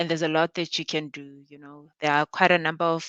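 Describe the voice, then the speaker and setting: Over a quiet background, a woman speaks in a very deep, low, monotone voice with flat intonation and a dry, close sound free of echo. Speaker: conference speaker. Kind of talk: technical presentation. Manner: halting.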